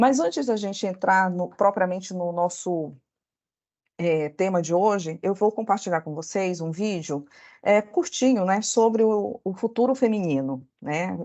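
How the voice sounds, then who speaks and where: With a northern Brazilian accent, a woman speaks at a fairly slow pace. Her pitch is medium, with ordinary pitch variation. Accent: northern Brazilian (Belém). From northern Brazil, Belém (Pará). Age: 40s. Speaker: lawyer. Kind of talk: workshop talk. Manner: halting, many fillers.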